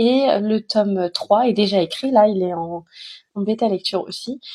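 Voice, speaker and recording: This woman has a somewhat breathy voice with a dark, mellow tone and a fairly high pitch. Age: 30s. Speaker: author. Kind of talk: casual self-introduction vlog. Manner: hesitant, many filler sounds.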